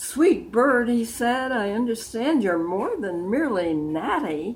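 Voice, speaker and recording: This woman's voice sits fairly high and swings very widely in pitch. She speaks at a fairly slow pace. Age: 80s+. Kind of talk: poetry reading.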